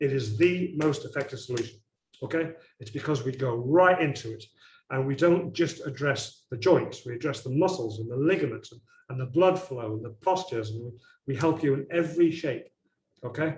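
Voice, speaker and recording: A somewhat breathy voice at a fairly quick pace, with ordinary pitch variation and big swings in loudness. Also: man, fairly high pitch for a man. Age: 60s. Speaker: chiropractor. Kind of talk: webinar presentation. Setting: online webinar.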